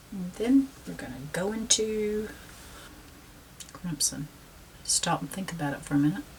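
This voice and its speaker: A woman with a Southern US accent speaks at a medium pitch, with very wide pitch swings and big shifts in loudness. She leaves long, frequent pauses, and there is noticeable background noise. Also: moderate pace. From South Carolina, US South. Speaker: painting instructor. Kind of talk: tutorial. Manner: casual, with frequent fillers.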